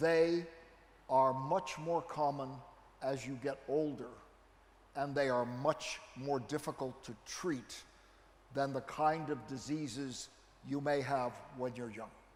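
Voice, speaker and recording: A man with an American accent and fairly high pitch, very slow pace, fairly even intonation, long, frequent pauses, and audible room echo. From United States. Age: 70s. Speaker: neurology professor. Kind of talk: lecture.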